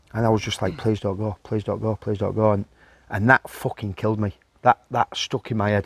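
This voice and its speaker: A man with a Yorkshire accent, fairly low-pitched and fairly quick, in a flat monotone, with a dry, close sound, no echo and a very clean, silent background. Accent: Yorkshire (Hull). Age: 50s. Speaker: former professional footballer. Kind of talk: casual interview.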